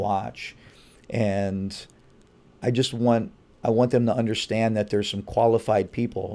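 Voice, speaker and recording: The speaker is a man with a dark, mellow tone and a fairly low pitch. He keeps a moderate pace and a monotone, flat intonation. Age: 50s. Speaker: high school strength and conditioning coach. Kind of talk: interview. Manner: articulate.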